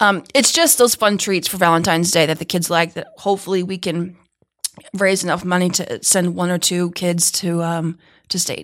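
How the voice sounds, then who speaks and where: A woman talks in a normal speaking voice at fairly low pitch. Her pace is moderate and her intonation fairly even. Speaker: teacher, Skills club advisor. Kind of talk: casual interview chat. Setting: studio.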